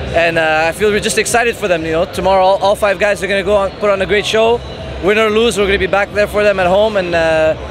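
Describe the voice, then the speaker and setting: A high-pitched man speaks at a very fast pace with fairly even intonation and very even loudness. The sound is dry with no echo, though noticeable background noise is present. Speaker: interviewee. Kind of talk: interview answer. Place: hall. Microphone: handheld.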